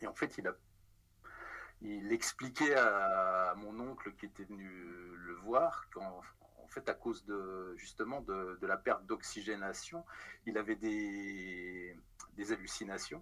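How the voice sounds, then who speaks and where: With long, frequent pauses and big swings in loudness, a man speaks at a very slow pace in a bright, sharp tone, his pitch fairly low with ordinary variation. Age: 50s. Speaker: comic book writer. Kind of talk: casual interview. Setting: remote call.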